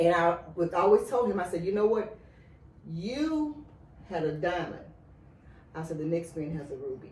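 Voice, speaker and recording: The speech moves at a moderate pace with lively intonation, big swings in loudness, and long, frequent pauses. Room echo is audible, and background noise is noticeable. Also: woman, fairly low pitch for a woman. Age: 60s. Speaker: podcast guest. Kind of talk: casual chat.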